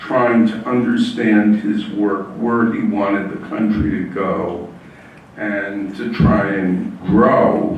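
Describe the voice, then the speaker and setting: A man speaks at a very slow pace, with noticeable background noise and audible room echo. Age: 80s+. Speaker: author and civil rights lawyer. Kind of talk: author talk. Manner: hesitant, many fillers.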